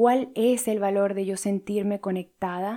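On a very clean recording with a silent background, a woman speaks at a very slow pace in a calm, dark, mellow tone with fairly even intonation. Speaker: life coach and podcast host. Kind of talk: solo podcast talk on spirituality.

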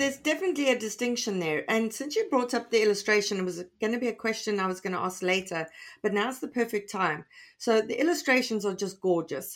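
Speaking very fast with lively intonation, a woman has a fairly high pitch on a very clean recording with a silent background. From South Africa. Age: 40s. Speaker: podcast host and author. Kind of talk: interview.

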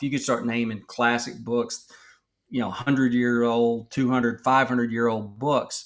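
A man speaks with an American accent in a normal speaking voice. His pitch is medium and his intonation fairly even. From Texas. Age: 50s. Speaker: author and former pastor. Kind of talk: interview.

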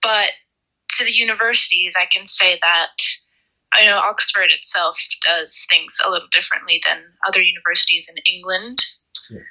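Speaking at a moderate pace with an American accent, a woman leaves long, frequent pauses while her loudness swings widely. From US, Pennsylvania. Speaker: university student. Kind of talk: interview.

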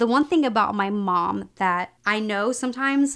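A woman's medium-pitched voice with a Texan accent and ordinary pitch variation, on a very clean recording with a silent background. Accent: Texan American. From Texas. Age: 40s. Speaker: political commentator. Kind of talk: casual chat.

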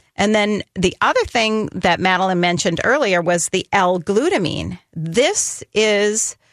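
Speaking at a fairly slow pace, a woman uses a normal speaking voice with medium pitch and ordinary pitch variation. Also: dry, close sound with no echo. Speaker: radio host and dietitian. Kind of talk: call-in radio show interview. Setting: studio.

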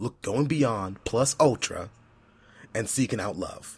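A somewhat breathy man talks at a fairly slow pace in a very clean recording with a silent background. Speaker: podcast co-host and executive producer. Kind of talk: casual chat.

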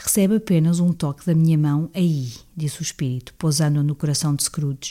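With a European Portuguese accent, a woman speaks fairly quickly in a dark, mellow tone with ordinary pitch variation, on a very clean recording with a silent background. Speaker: audiobook reader. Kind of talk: reading aloud. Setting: living room at home. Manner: occasional hesitations and self-corrections.

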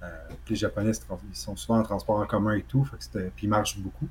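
Lively intonation from a man with a fairly low pitch, at a fairly quick pace. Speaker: video game podcast co-host. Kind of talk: casual chat.

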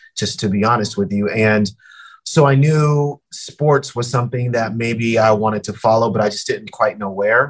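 With an American accent, a man speaks in a normal speaking voice at medium pitch. His pace is moderate and his pitch variation ordinary. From Colorado, Denver. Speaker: sports broadcaster. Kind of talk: casual interview.

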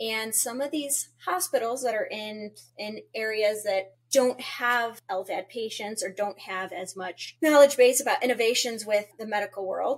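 An ordinary speaking voice from a woman with an American accent, fairly high in pitch, with ordinary pitch variation and big swings in loudness. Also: hardly any pauses. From US South (Florida). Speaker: transplant social worker podcast host. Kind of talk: casual educational podcast chat.

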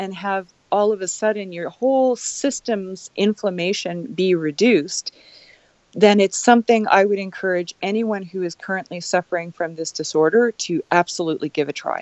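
An ordinary speaking voice moves at a moderate pace. Its intonation is lively. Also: woman. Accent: Canadian. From Canada. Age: 40s. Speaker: keto advocate with epilepsy. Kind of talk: interview conversation. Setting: remote call.

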